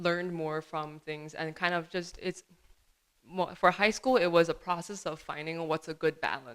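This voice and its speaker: A woman's fairly low voice with a Chinese accent, at a fairly slow pace. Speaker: student filmmaker. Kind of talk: interview. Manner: hesitant, many fillers.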